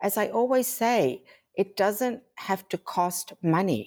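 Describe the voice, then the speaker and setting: A woman with an American accent speaks with lively intonation. Her voice is dry and close with no echo, on a very clean recording with a silent background. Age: 60s. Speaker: fashion designer and digital creator. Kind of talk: podcast interview.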